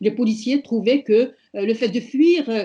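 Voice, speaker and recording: Her voice is fairly high in pitch, with a dark, mellow tone that is somewhat breathy. The woman speaks at a fairly slow pace with fairly even intonation. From Morocco. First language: Amazigh (Berber) (speaking French). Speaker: feminist activist. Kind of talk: prepared speech at online panel. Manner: hesitant, many fillers.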